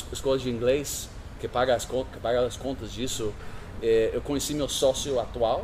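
Speaking at a moderate pace with an American accent, a man has a medium pitch. Background noise is noticeable, and room echo is audible. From California, US. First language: English (speaking Portuguese). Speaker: startup founder and CEO. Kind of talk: interview. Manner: halting, many fillers.

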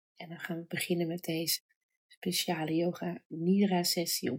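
Her voice is fairly low in pitch and somewhat breathy. The woman speaks in a soothing, gentle tone at a fairly slow pace. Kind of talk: guided meditation. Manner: slow, soft and soothing, with long pauses; gentle, calm, warm.

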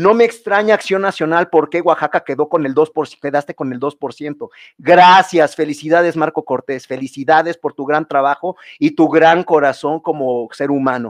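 A man's fairly high voice at a moderate pace, with ordinary pitch variation, a quiet background and a dry, close sound with no echo. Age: 30s. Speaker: political campaign coordinator. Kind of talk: casual interview. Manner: halting, many repetitions and fillers.

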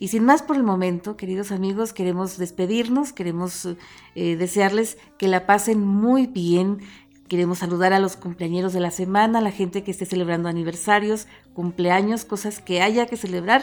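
A woman speaks in an unremarkable speaking voice of medium pitch. Her pace is moderate and her pitch variation ordinary. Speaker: radio host. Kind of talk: radio interview.

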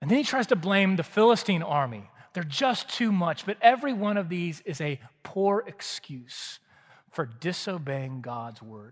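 In a very clean recording with a silent background, a man with an American accent speaks at a moderate pace, his high pitch making very wide swings. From Texas (Waco). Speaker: pastor. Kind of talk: sermon. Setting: church.

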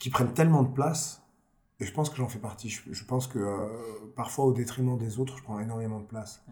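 A man speaks at a fairly quick pace in a medium-pitched, somewhat breathy voice with fairly even intonation. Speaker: blues rock singer. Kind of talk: casual chat.

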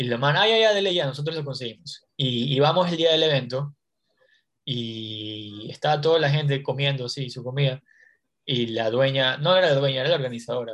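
A man with a fairly high pitch talks in a normal speaking voice. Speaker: stand-up comedian and podcast host. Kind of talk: casual interview chat.

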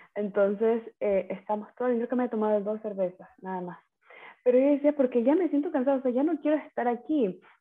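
A woman talks at a fairly quick pace in a high pitch with lively intonation. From Ecuador, coastal Manabí (Manta). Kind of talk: casual chat.

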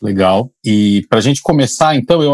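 Recorded dry and close with no echo, a man speaks at a moderate pace with very wide pitch swings. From São Paulo, Brazil. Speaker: podcast co-host and family doctor. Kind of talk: casual discussion.

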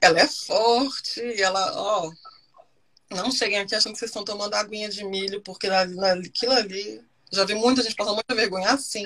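A woman speaks with an ordinary speaking voice at medium pitch. Her intonation is fairly even and her pace moderate. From Brasília, Brazil. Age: 30s. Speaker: expat guest, digital marketer. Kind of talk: casual interview chat.

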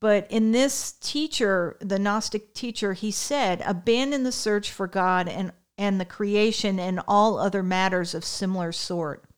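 An ordinary speaking voice with an American accent, at a fairly slow pace with hardly any pauses and ordinary pitch variation, on a very clean recording with a silent background. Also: woman, medium pitch for a woman. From Connecticut, US. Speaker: co-host, mother of the other host. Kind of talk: casual conversation, podcast chat.

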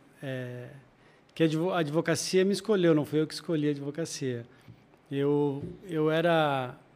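Speech unfolds at a fairly slow pace. The pitch shows ordinary variation. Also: man. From Joinville, Santa Catarina, southern Brazil. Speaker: lawyer and world traveler. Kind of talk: interview.

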